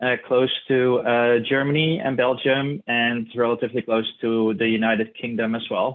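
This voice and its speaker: This man has a medium pitch and a Dutch accent. He talks at a moderate pace with fairly even intonation. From Netherlands, Tilburg area (south). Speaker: clinical research specialist. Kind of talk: keynote presentation. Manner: hesitant, many fillers.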